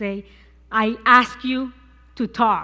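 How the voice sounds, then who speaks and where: On a very clean recording with a silent background, the speech moves at a very slow pace with fairly even intonation. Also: woman. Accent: Puerto Rican. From Puerto Rico. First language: Spanish. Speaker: cancer survivor sharing faith. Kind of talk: testimony. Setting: church service.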